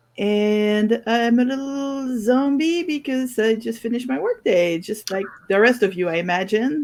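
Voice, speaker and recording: A woman talks in a French Canadian accent, her pitch fairly high. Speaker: tabletop game player. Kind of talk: casual chat.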